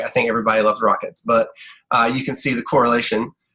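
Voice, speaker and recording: A man speaks at a medium pitch in a bright, sharp tone. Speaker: health coach trainer. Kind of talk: online team training presentation. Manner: fast talker.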